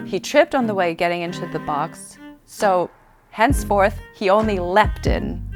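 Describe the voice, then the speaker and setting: Music in the background behind a woman's fairly slow delivery. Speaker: auctioneer. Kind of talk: interview answer about her career, casual and reflective.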